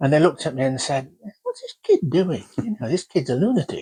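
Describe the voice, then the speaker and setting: A man with a Yorkshire accent speaks at a high pitch, moving in very wide pitch swings. His moderate pace comes through a dry, close sound with no echo. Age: 80s+. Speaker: oral history interviewee. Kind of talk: oral history interview.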